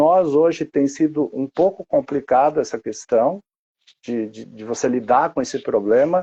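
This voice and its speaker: A man speaks at a fairly slow pace in a dark, mellow tone, with big swings in loudness and a dry, close sound with no echo. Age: 60s. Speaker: wildlife protection activist. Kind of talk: interview. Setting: live stream. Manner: halting, many repetitions.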